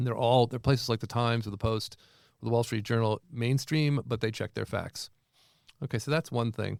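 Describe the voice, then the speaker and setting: A man speaks at a fairly quick pace in a plain, everyday voice, with fairly even intonation and a medium pitch. The sound is dry and close with no echo, on a very clean recording with a silent background. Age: 60s. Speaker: professor. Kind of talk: interview.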